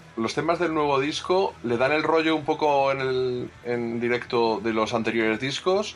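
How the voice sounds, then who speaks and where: Over noticeable background noise, a man speaks at a fairly slow pace and medium pitch, keeping his loudness very even. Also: ordinary pitch variation. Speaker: radio host. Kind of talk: radio show hosting with music talk. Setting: studio.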